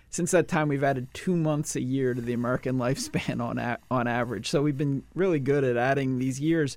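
On a very clean recording with a silent background, a man in an ordinary speaking voice talks fairly quickly at medium pitch, with fairly even intonation and hardly any pauses. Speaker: nonprofit CEO and author. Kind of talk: casual chat.

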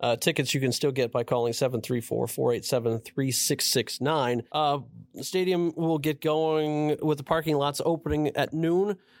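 A normal speaking voice at a moderate pace with hardly any pauses, ordinary pitch variation and a very clean recording with a silent background. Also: man, fairly high pitch for a man. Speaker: podcast co-host. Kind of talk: sports podcast chat.

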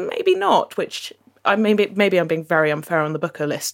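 A woman talks at a moderate pace and medium pitch in an unremarkable speaking voice, captured on a very clean recording with a silent background. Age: 30s. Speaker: book club member. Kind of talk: casual chat.

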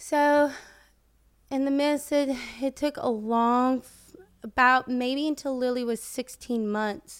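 A woman's high voice with a Southern US accent, very slow pace and fairly even intonation, on a very clean recording with a silent background. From US South, rural Florida (Plant City). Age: 20s. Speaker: social media personality. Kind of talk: casual chat.

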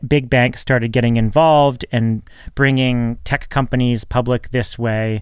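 An unremarkable speaking voice from a man, medium in pitch, with fairly even intonation. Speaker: podcast host. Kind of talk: scripted intro and casual interview chat.

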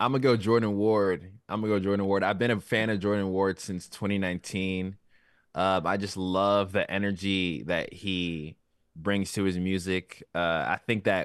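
A man with an American accent talks at a moderate pace in a normal speaking voice, his pitch fairly low and his intonation fairly even. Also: quiet background. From Virginia, US (DMV area). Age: 20s. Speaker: hip hop artist. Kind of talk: casual interview chat.

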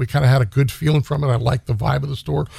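Speaking at a very fast pace, a man with a medium-pitched voice has a dark, mellow tone and a somewhat breathy quality. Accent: American. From Stockton, California. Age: 50s. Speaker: gun shop owner and navy veteran. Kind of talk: casual interview chat.

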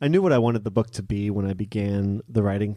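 Speaking with a General American accent, a man uses a fairly low pitch and fairly even intonation in a dark, mellow tone. The recording is very clean, with a silent background. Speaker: chef and cookbook author. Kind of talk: live interview. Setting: stage with audience.

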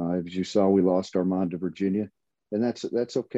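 Talking at a fairly quick pace, a man with an American accent uses a plain, everyday voice, fairly low in pitch, with fairly even intonation. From Michigan. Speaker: college basketball assistant coach and former player. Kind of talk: casual interview.

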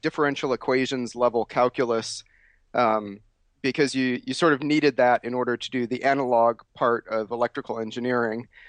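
A man with an American accent speaks in a normal speaking voice at medium pitch, moderate pace and fairly even intonation. The background is quiet and the sound dry and close with no echo. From US Midwest, Chicago area. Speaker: software engineer and tech executive. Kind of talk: oral history interview.

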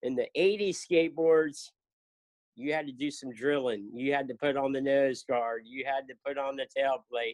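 In a normal speaking voice, a man with an American accent talks at a fairly high pitch with ordinary pitch variation, the sound dry and close with no echo. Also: moderate pace. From South Florida. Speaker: cancer charity founder and skateboarder. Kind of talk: casual interview.

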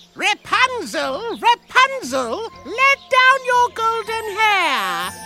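A put-on character voice speaks at an extremely high pitch and a very slow pace. Loud music plays in the background. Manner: imitating the witch's voice, coaxing.

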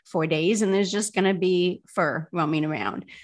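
A woman with fairly even intonation on a very clean recording with a silent background. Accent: Midwestern US. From Indiana, South Bend. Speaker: dating app founder. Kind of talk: interview.

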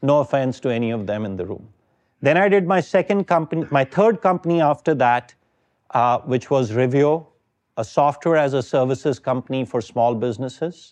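Against a quiet background, a man with an Indian accent speaks at a fairly high pitch and moderate pace with lively intonation. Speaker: venture capitalist. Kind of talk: lecture. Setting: stage with audience.

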